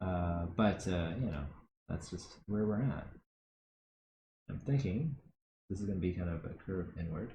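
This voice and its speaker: The voice has a dark, mellow tone and is somewhat breathy, mumbling at a moderate pace. Long, frequent pauses break up speech with ordinary pitch variation. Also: man, very deep, low pitch for a man. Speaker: art instructor. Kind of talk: live-streamed drawing workshop. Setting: live stream. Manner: soft-spoken.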